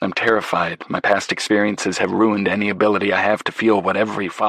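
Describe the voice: What we hear is plain reading aloud.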